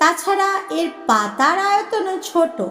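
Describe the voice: A woman's put-on character voice, extremely high-pitched with a bright, sharp tone, slow pace and lively intonation.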